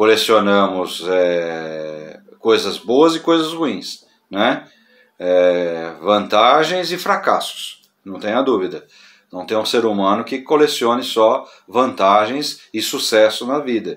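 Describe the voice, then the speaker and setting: A man at a medium pitch, his voice making very wide pitch swings at a very slow pace. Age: 60s. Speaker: pastor. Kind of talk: casual talk to camera on church topic. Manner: halting with fillers.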